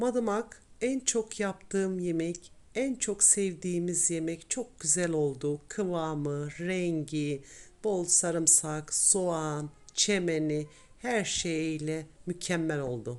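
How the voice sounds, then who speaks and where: A woman talks at a very slow pace in a fairly low pitch. Her intonation is lively, and the background is quiet. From Tokat, central Anatolia, Turkey. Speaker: cooking channel host. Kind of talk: cooking tutorial narration.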